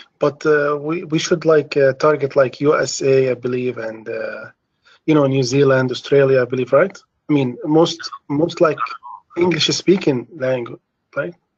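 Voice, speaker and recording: Keeping his intonation fairly even, a man speaks at a moderate pace and a fairly high pitch. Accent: Arabic. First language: Arabic. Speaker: caller, job seeker. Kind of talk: live Q&A question. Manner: halting, many fillers.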